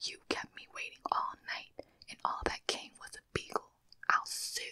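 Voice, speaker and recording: A woman's soft-spoken whisper at a fairly slow pace. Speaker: storyteller. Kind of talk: soft story reading, ASMR-style. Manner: soft close-mic whisper reading. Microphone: studio mic.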